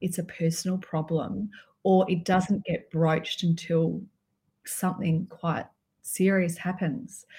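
In an Australian accent, a woman speaks at a fairly slow pace in a medium pitch with a dark, mellow, somewhat breathy tone and monotone, flat intonation, on a very clean recording with a silent background. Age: 50s. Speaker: alcohol mindset coach. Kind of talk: podcast interview.

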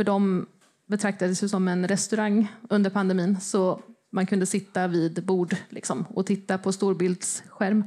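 The voice has a dark, mellow tone and monotone, flat intonation at a moderate pace. Loudness stays very even, and the recording is very clean with a silent background. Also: woman, medium pitch for a woman. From Östergötland, Sweden (Motala). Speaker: football supporter association chair. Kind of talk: panel discussion. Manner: hesitant, many fillers.

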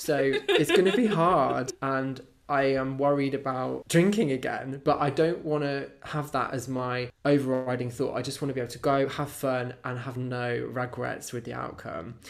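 With a British accent, a man speaks with ordinary pitch variation and hardly any pauses. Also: medium pitch for a man, moderate pace. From UK. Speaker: podcast co-host. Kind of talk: casual chat.

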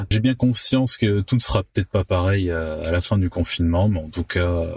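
Very clean, with a silent background and a dry, close sound with no echo. A man with a fairly low pitch speaks somewhat breathily at a fairly quick pace. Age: 30s. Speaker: property dealer, former osteopath. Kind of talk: recorded personal testimony.

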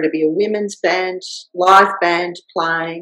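A woman speaks at a fairly slow pace in an Australian accent. Her pitch is medium, with fairly even intonation. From rural Victoria, Australia. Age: 60s. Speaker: vocational educator and former film director. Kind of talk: interview.

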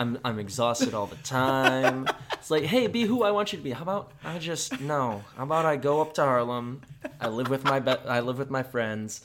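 Noticeable background noise sits behind this man. He has a General American accent and ordinary pitch variation. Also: medium pitch for a man, moderate pace. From US Midwest. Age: 20s. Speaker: podcast host. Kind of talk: casual chat. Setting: studio.

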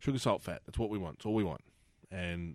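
He talks with an Australian accent. His pitch is very deep and low. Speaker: podcast host. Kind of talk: casual interview chat. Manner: casual, jokey.

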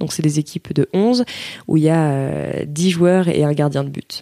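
At a very slow pace, a woman speaks with fairly low pitch and ordinary pitch variation. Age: 20s. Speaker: field hockey goalkeeper. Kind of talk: interview. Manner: hesitant, many fillers.

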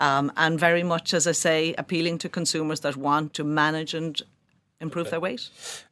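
Very deep and low in pitch, a woman speaks at a moderate pace in a monotone, flat intonation. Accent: Kilkenny Irish. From Ireland, Kilkenny. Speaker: company chief executive. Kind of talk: interview.

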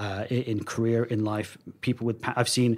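A man's medium-pitched, monotone voice with flat intonation at a moderate pace, on a very clean recording with a silent background. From London, England (Wembley). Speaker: data and marketing executive. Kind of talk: interview conversation.

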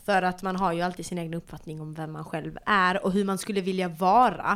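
A normal speaking voice at a moderate pace. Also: woman. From Malmö, Sweden. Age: 20s. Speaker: podcast host. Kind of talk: casual chat.

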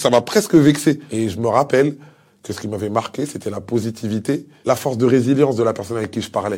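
Speaking very fast, a man with a dark, mellow tone shows ordinary pitch variation and big swings in loudness. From DR Congo (Kinshasa), moved to France around age 10. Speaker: guest telling a life story. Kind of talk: personal testimony.

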